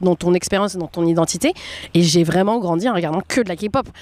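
A woman's normal speaking voice, fairly quick, with ordinary pitch variation and a dry, close sound with no echo. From France. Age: 20s. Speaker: café owner, entrepreneur. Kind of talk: casual interview.

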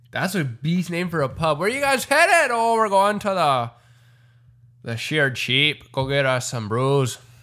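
A man speaks at a fairly slow pace in a fairly high pitch, with very wide pitch swings. His tone is bright and sharp. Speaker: podcast host. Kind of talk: casual chat. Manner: loud; animated, joking.

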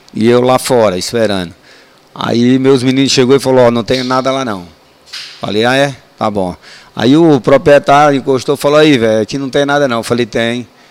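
A man speaks at medium pitch and a moderate pace. His pitch varies in an ordinary way over noticeable background noise. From Brazil, Ceará; raised in Ceilândia, Brasília. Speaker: retired military police sergeant. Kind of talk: casual storytelling interview. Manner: animated.

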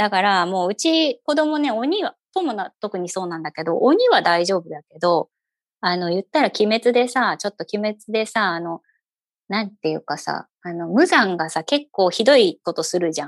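A woman in a slight Kyushu accent speaks at medium pitch and a moderate pace, with very wide pitch swings. Her loudness swings a lot, and the sound is dry and close with no echo. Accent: slight Kyushu intonation. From Fukuoka, Japan (eastern area near Oita). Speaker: podcast host, mother. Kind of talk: casual chat.

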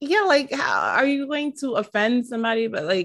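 At a moderate pace, a woman with an American accent speaks at a high pitch. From New York City. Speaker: podcast co-host. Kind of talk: casual chat. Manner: animated.

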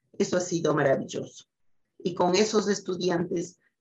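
A woman speaks with a fairly low pitch and a somewhat breathy sound. Her pace is fairly slow. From Ecuador, Quito. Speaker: scientist. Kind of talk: interview.

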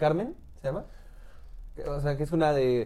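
A fairly high male voice, dark and mellow in tone, with ordinary pitch variation. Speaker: podcast co-host. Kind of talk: casual chat.

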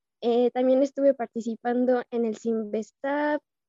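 A woman speaks at a fairly slow pace in a high pitch with a dark, mellow tone and fairly even intonation. The sound is dry and close, with no echo. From Mexico, Irapuato (Guanajuato). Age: 20s. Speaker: university student. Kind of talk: casual interview.

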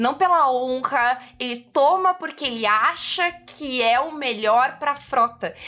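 A woman uses a raised, projected voice with a high pitch and ordinary pitch variation. She speaks at a very slow pace with hardly any pauses. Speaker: podcast host. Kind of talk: casual chat. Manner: loud.

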